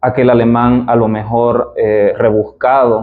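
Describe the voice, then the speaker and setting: In an eastern Bolivian accent, the speaker talks at a very slow pace with monotone, flat intonation. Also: man. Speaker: philologist, literature educator. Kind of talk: lecture. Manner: formal.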